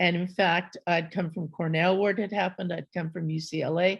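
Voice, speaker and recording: A somewhat breathy woman's voice with an American accent, medium pitch, ordinary pitch variation and a fairly quick pace, against a quiet background. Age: 70s. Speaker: artist and scholar. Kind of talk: panel conversation.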